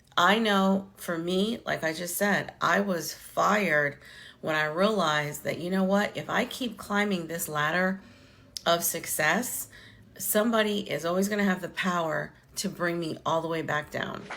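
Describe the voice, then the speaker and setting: This is a plain, everyday voice with ordinary pitch variation. The pace is fairly slow. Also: woman, fairly low pitch for a woman. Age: 60s. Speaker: online business coach. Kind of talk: live stream talk to viewers. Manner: casual, conversational.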